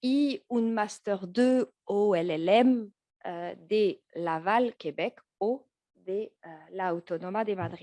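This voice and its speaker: In a French accent, a woman speaks with a dark, mellow tone at a medium pitch and ordinary pitch variation, the sound dry and close with no echo. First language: French (speaking Spanish). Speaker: law professor. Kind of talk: academic conference talk. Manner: halting, many fillers and restarts.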